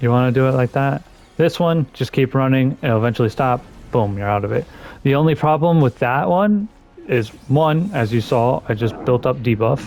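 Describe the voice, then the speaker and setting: A man's medium-pitched voice at a moderate pace, lively in intonation and very even in loudness, with music in the background. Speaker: gaming YouTuber. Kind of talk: gameplay commentary tutorial. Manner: casual, animated.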